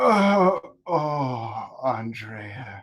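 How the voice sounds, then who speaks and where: A man puts on a character voice. His pitch swings very widely. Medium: game stream. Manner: taunting, quick to anger.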